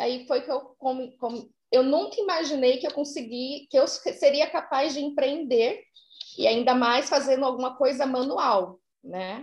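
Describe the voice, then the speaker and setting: A woman's high-pitched voice at a fairly slow pace, with ordinary pitch variation over a quiet background. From São Paulo, Brazil. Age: 30s. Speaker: soap-making artisan. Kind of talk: interview.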